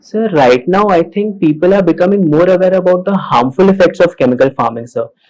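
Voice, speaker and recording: A man's high-pitched voice at a fairly quick pace, with hardly any pauses and ordinary pitch variation. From Maharashtra, India. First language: Hindi. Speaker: civil service exam candidate. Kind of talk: mock job interview. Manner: formal.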